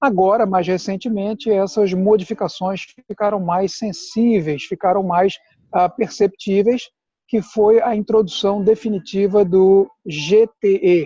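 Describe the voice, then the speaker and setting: A man with a high pitch for a man and a dark, mellow tone speaks fairly slowly with ordinary pitch variation, the sound dry and close with no echo. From Brazil, Pernambuco. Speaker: immigration consultant. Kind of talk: casual chat. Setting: video call.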